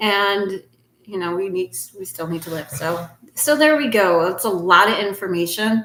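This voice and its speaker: Woman of medium pitch with a plain, everyday voice, ordinary pitch variation and moderate pace. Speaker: astrologer. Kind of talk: video monologue.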